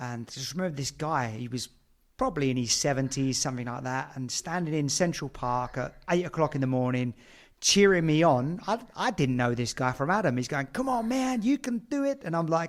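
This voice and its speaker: A fairly high-pitched man with a British accent, lively intonation and a fairly quick pace, in a very clean recording with a silent background. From Britain. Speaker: podcast host. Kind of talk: casual interview.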